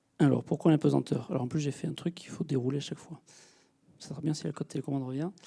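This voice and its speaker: A man at a very fast pace, fairly high in pitch and somewhat breathy, with a dark, mellow tone and fairly even intonation. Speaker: space engineer, project manager. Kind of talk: public lecture. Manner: hesitant, many fillers.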